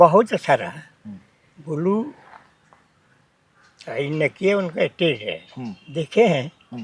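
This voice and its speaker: A man's high voice with very wide pitch swings, long and frequent pauses, and a dry, close sound with no echo. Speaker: folk singer (birha), interviewee. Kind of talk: interview answer.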